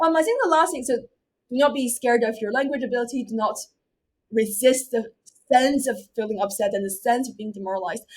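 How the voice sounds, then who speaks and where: Her pitch is high and her pace very fast. This woman's loudness swings widely. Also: ordinary pitch variation. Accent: Chinese. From China, Beijing. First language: Chinese. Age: 20s. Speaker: university student and debater. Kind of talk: interview.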